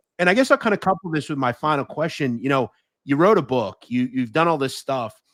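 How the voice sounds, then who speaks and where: A man with a normal speaking voice talks fairly quickly with lively intonation and a fairly high pitch, in a dry, close sound with no echo. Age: 30s. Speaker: podcast host. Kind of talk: interview.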